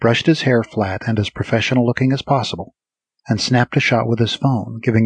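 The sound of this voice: An unforced reading voice carries fairly even intonation. The background is quiet.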